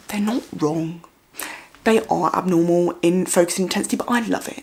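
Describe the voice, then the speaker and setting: Noticeable background noise sits behind a woman's fairly low voice. She talks at a moderate pace with ordinary pitch variation. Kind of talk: educational vlog. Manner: uneven emphasis and intonation; loud.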